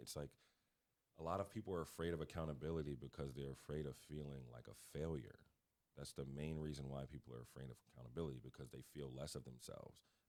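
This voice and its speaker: Here is a man with a very deep, low voice and an American accent. His pitch varies in an ordinary way. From Connecticut, US. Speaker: basketball coach. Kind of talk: podcast interview. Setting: studio.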